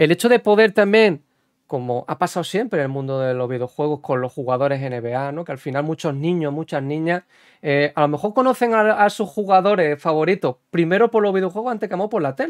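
Against a quiet background, a man with a fairly high pitch speaks in an animated tone with lively intonation. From Spain. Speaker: podcast host and basketball video game streamer; podcast host, basketball video game streamer. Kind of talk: interview. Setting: livestream podcast. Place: home room. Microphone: studio mic.

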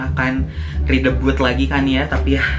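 Clear music playing behind a male voice. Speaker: fan vlogger. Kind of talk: casual vlog chat. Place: home room.

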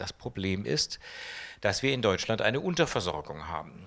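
A man with a bright, sharp tone speaks at a moderate pace with lively intonation. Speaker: oncologist; interviewee. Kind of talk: interview. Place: hall. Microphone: handheld.

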